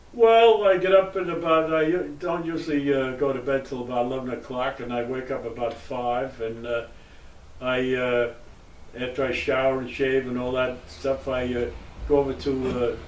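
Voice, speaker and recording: Audible room echo surrounds a man's voice. He speaks at a moderate pace, his medium pitch varying in an ordinary way. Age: 90s. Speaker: retired sales representative. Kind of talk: interview. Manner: halting, many fillers.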